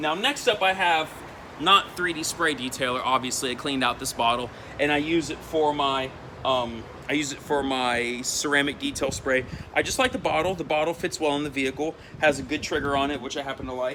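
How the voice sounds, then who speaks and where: With noticeable background noise, a man talks at a fairly quick pace and fairly high pitch, using ordinary pitch variation. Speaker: auto detailing youtuber. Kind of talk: product review tutorial. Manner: fast; casual, with fillers.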